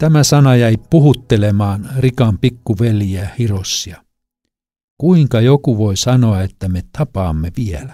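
In a very clean recording with a silent background, a man with a medium pitch speaks at a very slow pace, his dark, mellow tone calm and his intonation lively. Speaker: audiobook author-reader. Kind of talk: literary audiobook reading, memoir narration. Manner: calm, measured, reflective storytelling pace.

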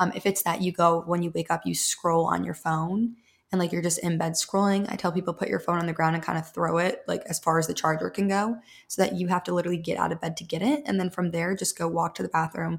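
A woman speaks very fast at a fairly low pitch, her intonation fairly even. Her voice is somewhat breathy. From US Midwest. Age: 20s. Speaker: habit and routine coach. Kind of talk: casual chat.

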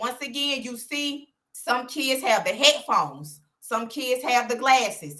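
With an Alabama accent, a woman with a high pitch and a bright, sharp tone speaks at a fairly slow pace with lively intonation. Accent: Southern US (Alabama). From US South, Birmingham, Alabama. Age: young. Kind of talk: interview.

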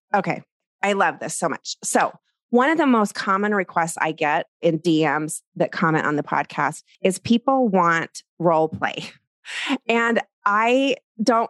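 Over a quiet background, a woman with a plain, everyday voice talks at a medium pitch and a fairly slow pace with lively intonation, the sound dry and close with no echo. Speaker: podcast host and portrait photographer. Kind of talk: interview conversation.

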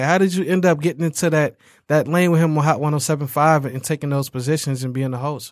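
Captured in a very clean recording with a silent background, the voice has an American accent and ordinary pitch variation. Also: man. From Detroit, Michigan. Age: 20s. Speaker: podcast host. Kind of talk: casual chat. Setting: studio. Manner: animated.

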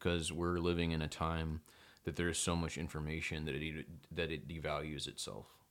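A man speaks in an American accent. His pitch is very deep and low, and his intonation is monotone and flat. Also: fairly quick pace. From Texas, Belton. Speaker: photographer and author. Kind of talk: casual chat.

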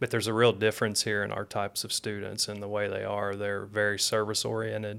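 At a very fast pace and with hardly any pauses, a man speaks in a fairly low pitch and a monotone, flat intonation, in a very clean recording with a silent background. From Tennessee. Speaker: professor. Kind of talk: casual chat.

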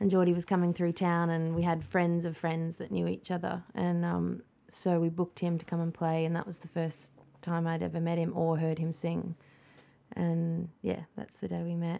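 With an Australian accent, a woman speaks at a moderate pace in a fairly low pitch, her dark, mellow tone held in monotone, flat intonation. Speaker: music producer and singer. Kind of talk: casual chat. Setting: outdoors, backyard hut.

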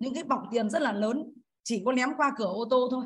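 A woman speaks with a high pitch. Her pitch varies an ordinary amount. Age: 50s. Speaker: course participant. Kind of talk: personal testimony. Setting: video call. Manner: formal, polite.

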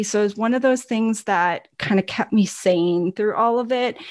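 At a medium pitch, a woman speaks with a slight Upper Midwest accent. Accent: slight northern US (Upper Midwest). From Milwaukee, Wisconsin. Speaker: business owner, podcast co-host. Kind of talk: casual chat.

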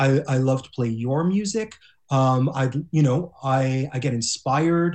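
A somewhat breathy, medium-pitched man at a fairly slow pace, with ordinary pitch variation. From Montreal, Canada. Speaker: music podcaster and guitarist. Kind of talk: improvised comedy. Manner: halting.

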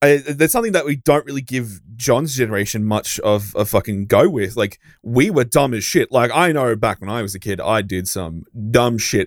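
With an Australian accent, a man speaks at a moderate pace and medium pitch, his intonation lively. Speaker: podcast host. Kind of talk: casual chat.

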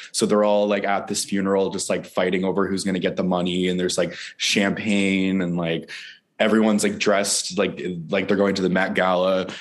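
Flat and monotone, a man's very deep, low voice carries audible room echo. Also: fairly quick pace. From Newfoundland, Canada. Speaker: filmmaker and actor. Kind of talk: interview. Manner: frequent laughter and fillers.

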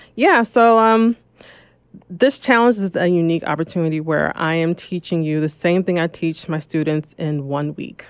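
In a normal speaking voice, a woman with an American accent talks at a moderate pace and fairly low pitch with ordinary pitch variation, on a very clean recording with a silent background. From New Jersey. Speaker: real estate investor. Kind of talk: interview.

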